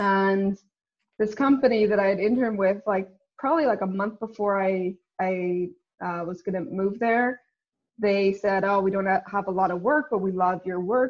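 A woman with a Northern Irish accent speaks at medium pitch. Her pace is moderate and her pitch varies in an ordinary way. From Northern Ireland. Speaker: company co-founder and CEO. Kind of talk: interview. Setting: video call.

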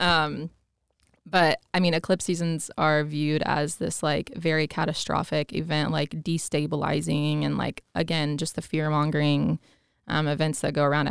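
Her voice is very deep and low, with vocal fry and monotone, flat intonation, as this woman speaks at a moderate pace in a very clean recording with a silent background. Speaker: astrologer. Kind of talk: casual interview.

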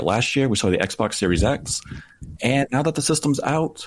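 With an ordinary speaking voice, a man talks at a fairly quick pace and medium pitch. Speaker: podcast host. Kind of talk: casual chat, gaming podcast.

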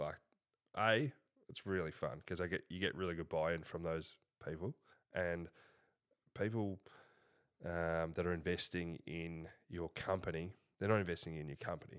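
In a very clean recording with a silent background, a man with an Australian accent speaks at a moderate pace in a very deep, low pitch, with fairly even intonation and long, frequent pauses. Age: 20s. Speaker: business founder and CEO. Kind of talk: casual interview.

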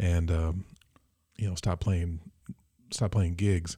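A man's dark, mellow, somewhat breathy voice with an American accent, at a fairly quick pace, on a very clean recording with a silent background. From Michigan, Mason. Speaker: musician. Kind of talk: casual chat. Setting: studio.

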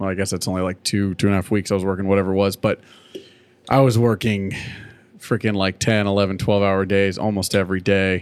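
A man's ordinary speaking voice, fairly low in pitch, at a fairly quick pace. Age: 30s. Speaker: podcast co-host, former high school drum instructor. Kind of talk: casual chat.

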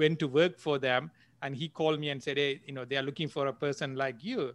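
Here is a man with a Sri Lankan accent and a fairly high pitch. His intonation stays fairly even. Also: quiet background. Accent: Sri Lankan Tamil English. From Jaffna, Sri Lanka. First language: Tamil. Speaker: entrepreneur and angel investor. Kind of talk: casual interview, storytelling. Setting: video call from Silicon Valley. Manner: halting, filler-heavy.

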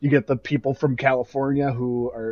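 A medium-pitched man with a Midwestern accent. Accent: Midwest. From US Midwest. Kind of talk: casual chat.

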